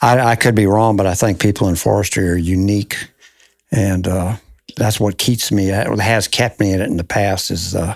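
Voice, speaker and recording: Fairly low-pitched, a man talks in a plain, everyday voice. He keeps a moderate pace and fairly even intonation. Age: 60s. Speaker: forester. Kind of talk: interview.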